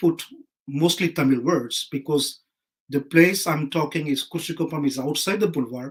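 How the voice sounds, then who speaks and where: Speaking in a French accent, a man keeps a moderate pace and ordinary pitch variation. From Pondicherry, India. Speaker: writer. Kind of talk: panel discussion.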